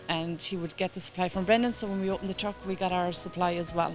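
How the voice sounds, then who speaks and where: Over music in the background, a woman with an Irish accent talks at a very fast pace with fairly even intonation. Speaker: food truck and cafe owner. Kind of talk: street interview.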